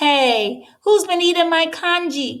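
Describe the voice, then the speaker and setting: Putting on a character voice, a woman speaks loud, squeaky and extremely high, with lively intonation. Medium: read story. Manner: loud, blustering.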